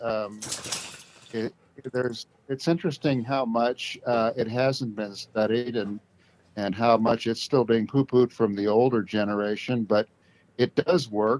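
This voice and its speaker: With a West Coast accent, a man speaks at medium pitch and moderate pace, with ordinary pitch variation and a dry, close sound with no echo. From Southern Oregon, US. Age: 60s. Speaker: brain injury survivor, retiree. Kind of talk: casual interview. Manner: halting, with many fillers.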